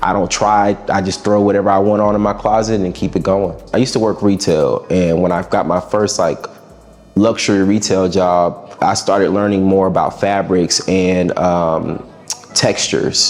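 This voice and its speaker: Music plays in the background as a man talks at a moderate pace with very even loudness. His voice is fairly low in pitch, and his intonation is monotone and flat. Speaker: musician. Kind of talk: interview.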